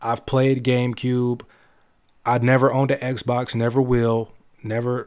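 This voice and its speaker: With an animated tone and medium pitch, a man talks at a fairly slow pace, leaving long, frequent pauses. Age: 20s. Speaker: gaming podcast host. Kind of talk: casual solo commentary.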